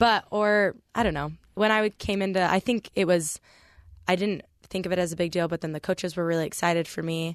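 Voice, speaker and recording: An unremarkable speaking voice comes from a woman with a fairly low pitch, talking at a fairly quick pace with fairly even intonation. The sound is dry and close with no echo, over a quiet background. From US West, Palm Springs, California. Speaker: college volleyball player. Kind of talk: radio interview. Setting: radio studio.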